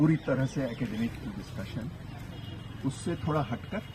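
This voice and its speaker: This man's pitch is fairly high, with ordinary pitch variation. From Hindi-speaking north India. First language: Kannada (speaking Hindi). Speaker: professor. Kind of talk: public lecture. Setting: outdoor public meeting with audience.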